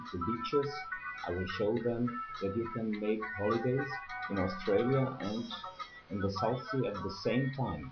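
Clear music plays behind this fairly slow delivery, with ordinary pitch variation and long, frequent pauses. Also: man. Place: home room. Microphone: webcam.

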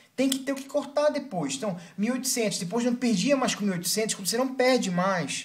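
A man's voice with ordinary pitch variation. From Brazil. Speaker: video blogger on weight loss. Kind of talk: angry rant, scolding and urgent, stern advice to viewers. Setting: video blog to camera. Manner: emphatic and exasperated, repeating "para de loucura" with swearing. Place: home room. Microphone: webcam.

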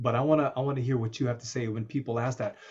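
Against a quiet background, a man speaks in a fairly high, somewhat breathy voice. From United States. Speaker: show host and interviewer. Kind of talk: casual interview. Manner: animated. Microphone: video call.

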